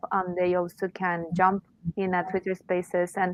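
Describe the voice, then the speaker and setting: This woman has a Spanish accent and a medium pitch. She talks at a moderate pace with monotone, flat intonation. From Mexico. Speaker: arts organization representative. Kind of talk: interview. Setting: online audio space. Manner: halting.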